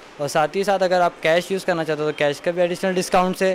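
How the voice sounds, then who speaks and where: A man with a high pitch talks at a fairly quick pace with fairly even intonation over light background noise. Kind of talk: promotional interview statement. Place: shop. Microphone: handheld.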